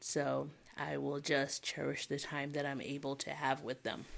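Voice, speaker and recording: A quiet voice on a very clean recording with a silent background. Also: woman. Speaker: planner hobby vlogger. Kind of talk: casual chat. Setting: home at night, children asleep. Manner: quiet, held-back volume.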